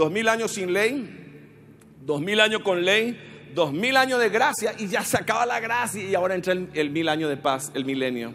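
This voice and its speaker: A man's high-pitched, animated voice with a Paraguayan accent, very wide pitch swings and a moderate pace, over light background noise. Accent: Paraguayan Spanish with voseo. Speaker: pastor. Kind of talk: sermon. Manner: animated, forceful, exhorting the congregation; rhetorical questions with colloquial jabs. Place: church. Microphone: handheld.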